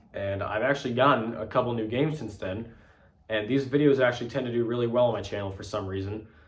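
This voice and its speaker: Over noticeable background noise and audible room echo, a man with a medium pitch talks at a very fast pace. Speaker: video game collector youtuber. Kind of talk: casual vlog. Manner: casual with fillers.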